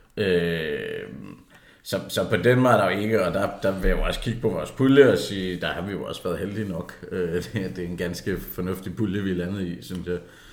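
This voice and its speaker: Amid audible room echo, a man speaks at a moderate pace in a very deep, low pitch with ordinary pitch variation. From South Jutland, Denmark. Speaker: football podcast co-host. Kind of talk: casual chat.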